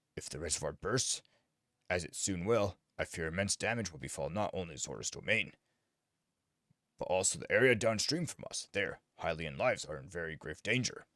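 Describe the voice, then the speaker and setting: A man puts on a character voice with a very deep, low pitch. He goes at a fairly quick pace but leaves long, frequent pauses. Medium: game stream. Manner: formal, stately, archaic phrasing.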